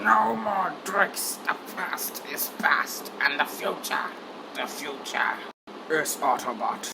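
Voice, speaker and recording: A raspy, put-on character voice sits at a middle pitch. The pace is very slow. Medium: dub.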